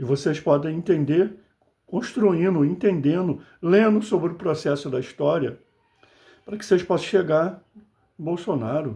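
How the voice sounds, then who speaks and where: A man's high-pitched, dark and mellow voice at a moderate pace, with ordinary pitch variation, big swings in loudness and long, frequent pauses. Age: 60s. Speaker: political commentator, video blogger. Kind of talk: political monologue to camera. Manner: impassioned, conversational.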